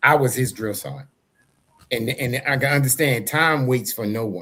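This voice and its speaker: A bright, sharp tone delivered at a moderate pace. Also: man, medium pitch for a man, ordinary pitch variation. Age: 60s. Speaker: talk show co-host, army veteran. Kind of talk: casual interview chat.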